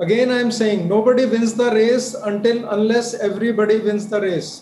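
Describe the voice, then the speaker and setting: Over light background noise and audible room echo, a man with a high pitch speaks at a moderate pace with fairly even intonation. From India. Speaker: physician; guest. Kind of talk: TV panel discussion; interview answer. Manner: emphatic, repetitive. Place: home room. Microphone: video call.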